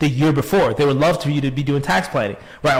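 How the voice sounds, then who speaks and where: Over noticeable background noise, a man rattles along at a very fast pace in an animated tone. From Chicago, US Midwest. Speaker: tax advisor. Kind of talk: webinar presentation. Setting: online live stream.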